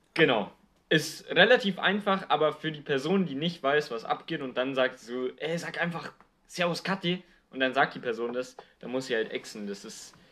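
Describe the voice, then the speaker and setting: Bright and sharp in tone, a man's voice sits fairly high in pitch with lively intonation. He talks at a moderate pace. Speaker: podcast co-host. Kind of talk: casual chat.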